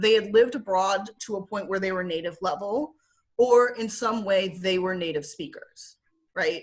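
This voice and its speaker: A woman speaks with a strong Michigan accent. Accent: thick Midwest (Michigan). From Michigan, US Midwest (Southfield). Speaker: former English teacher in Korea. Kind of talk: casual interview. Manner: animated storytelling.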